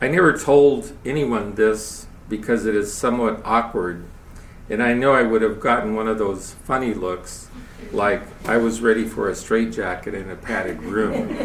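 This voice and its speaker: A man keeps a moderate pace while audible room echo surrounds his voice. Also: medium pitch for a man, ordinary pitch variation. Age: 70s. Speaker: lay speaker giving a spiritual talk. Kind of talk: sermon.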